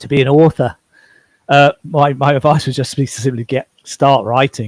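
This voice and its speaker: The speaker has an English accent and talks at a moderate pace with fairly even intonation and big swings in loudness. The sound is dry and close, without echo. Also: man, fairly high pitch for a man. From England. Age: 60s. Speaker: author. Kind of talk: interview.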